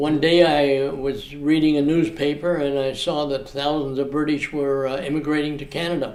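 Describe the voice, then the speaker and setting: Music plays in the background, with audible room echo. A man with a fairly high voice speaks in a monotone, flat intonation at a moderate pace with hardly any pauses. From Australia (Sydney). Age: 80s+. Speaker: retiree telling his life story. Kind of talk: interview storytelling. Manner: halting, many fillers.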